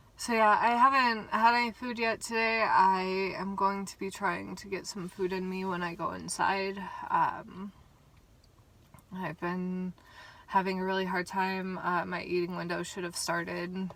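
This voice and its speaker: Over noticeable background noise, a woman speaks at a fairly slow pace and medium pitch, her intonation fairly even while her loudness swings widely. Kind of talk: personal vlog. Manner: halting, many fillers.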